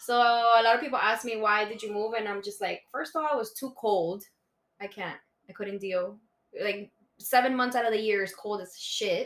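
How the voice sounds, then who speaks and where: A woman with a Spanish accent talks at a moderate pace, her fairly high pitch carrying fairly even intonation. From Bogota, Colombia, raised Miami. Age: 20s. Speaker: guest. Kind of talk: casual chat.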